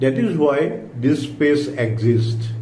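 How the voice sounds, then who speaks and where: At a very slow pace, a man talks in a calm tone with a medium pitch. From India. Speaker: author and retired power engineer. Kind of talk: personal reflective talk to camera. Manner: calm, slow.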